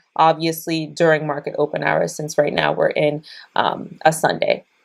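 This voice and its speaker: On a very clean recording with a silent background, a woman talks at a fairly low pitch in a monotone, flat intonation. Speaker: day trader and trading educator. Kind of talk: screen-share tutorial. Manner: fast.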